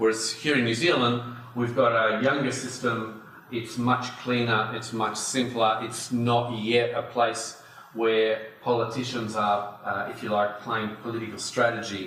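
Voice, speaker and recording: Speaking with an Australian accent, a man of medium pitch goes at a fairly slow pace in a monotone, flat intonation, with noticeable background noise and audible room echo. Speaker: industry association chief executive. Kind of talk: conference talk. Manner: hesitant, many fillers.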